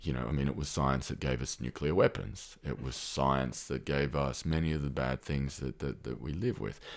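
With vocal fry and a very deep, low pitch, a man speaks at a moderate pace with fairly even intonation and hardly any pauses. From Australia. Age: 30s. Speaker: researcher and former military. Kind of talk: casual interview conversation. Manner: hesitant, thoughtful, many fillers.

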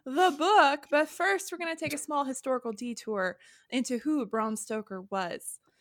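On a very clean recording with a silent background, a woman with an animated tone and high pitch speaks at a moderate pace with very wide pitch swings. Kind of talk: casual chat and history storytelling. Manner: animated, jokey.

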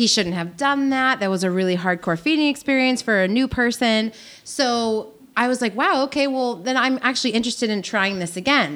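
On a very clean recording with a silent background, a woman with an ordinary speaking voice talks fairly quickly at a fairly high pitch, her intonation lively. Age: 30s. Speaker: podcast guest. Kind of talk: casual chat.

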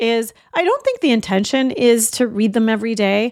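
Here is a woman with an ordinary speaking voice, pitched fairly high with ordinary pitch variation. She talks at a fairly quick pace in a dry, close sound with no echo. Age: 50s. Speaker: podcast host. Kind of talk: solo podcast monologue.

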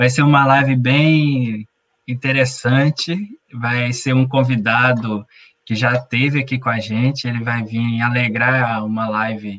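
Against a quiet background, a man talks at a very slow pace with a medium pitch and fairly even intonation. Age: 30s. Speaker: patient association president, co-host. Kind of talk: announcements on live stream.

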